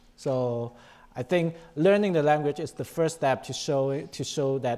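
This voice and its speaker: A man with a Chinese accent speaks in a dark, mellow tone with ordinary pitch variation, on a very clean recording with a silent background. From China. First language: Chinese (Mandarin, Cantonese). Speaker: panelist, insurance professional. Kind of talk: panel discussion.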